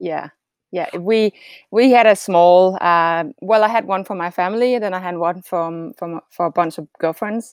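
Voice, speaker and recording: This woman has a Danish accent and talks at a moderate pace, her medium pitch moving with ordinary variation. The recording is very clean with a silent background, and the sound is dry and close with no echo. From Denmark. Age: 40s. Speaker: retired triathlete. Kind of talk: casual interview.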